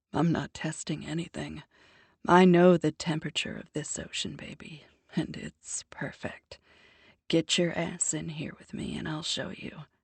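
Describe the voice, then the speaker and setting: A put-on character voice growls at a middle pitch. The pace is moderate. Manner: cocky, seductive.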